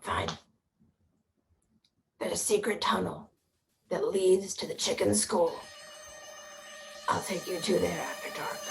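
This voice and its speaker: Someone speaks at a moderate pace in a put-on character voice, with long, frequent pauses. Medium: stage play. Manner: curt, guarded.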